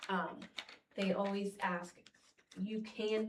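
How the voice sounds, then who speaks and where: A woman speaks at a medium pitch with fairly even intonation, and audible room echo surrounds her voice. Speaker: school administrator. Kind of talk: board meeting presentation. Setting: board meeting room. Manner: halting.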